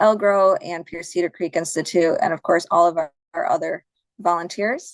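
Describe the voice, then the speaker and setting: A woman with a normal speaking voice talks at a moderate pace in a medium pitch with ordinary pitch variation, recorded with a dry, close sound, no echo, and a quiet background. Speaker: conservation program coordinator. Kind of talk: conference presentation and Q&A. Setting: online video conference.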